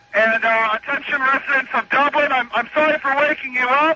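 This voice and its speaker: An extremely high-pitched man uses a raised, projected voice. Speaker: radio executive producer and on-air personality. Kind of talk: radio morning show prank call, casual banter. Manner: playful, upbeat, mock-earnest.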